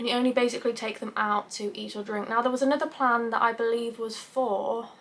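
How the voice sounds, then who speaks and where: A woman's fairly high voice with an English accent, at a fairly quick pace. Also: hardly any pauses. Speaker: YouTuber. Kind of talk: vlog.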